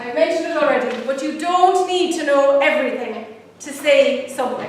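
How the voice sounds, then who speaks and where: A woman talks fairly quickly in an Irish accent, her pitch high and its variation ordinary. Audible room echo and noticeable background noise surround her. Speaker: pro-life campaigner. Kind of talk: public talk. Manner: fast.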